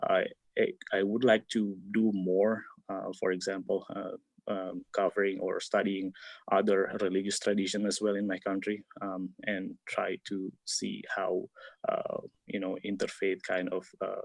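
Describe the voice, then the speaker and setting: In a dry, close recording with no echo and a quiet background, a man with an Indonesian accent talks at a fairly slow pace. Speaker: PhD researcher. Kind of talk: webinar Q&A answer. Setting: video call webinar. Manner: halting, many fillers.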